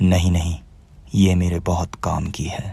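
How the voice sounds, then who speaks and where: A man puts on a raspy character voice with a very deep, low pitch, speaking at a moderate pace. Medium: read story. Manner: mocking, defiant.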